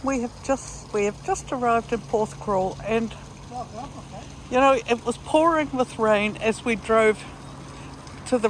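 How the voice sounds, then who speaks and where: Against noticeable background noise, a woman with a fairly high voice speaks at a fairly slow pace with ordinary pitch variation. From Netherlands and New Zealand. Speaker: travel vlogger. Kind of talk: casual travel vlog narration.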